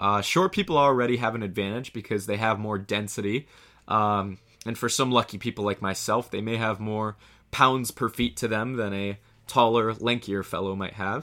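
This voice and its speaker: A man in a normal speaking voice talks with a fairly low pitch and fairly even intonation. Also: moderate pace. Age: 20s. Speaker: comedy podcast host. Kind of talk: scripted comedic monologue.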